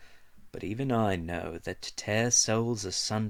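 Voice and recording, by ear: The pitch varies normally as a passage is read aloud in a natural voice.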